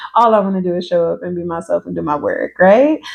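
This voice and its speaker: Over noticeable background noise, a woman talks at a fairly quick pace in a relaxed tone. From New York, the Bronx, partly Georgia. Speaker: social worker and consultant. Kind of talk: casual vlog introduction. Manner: relaxed, conversational.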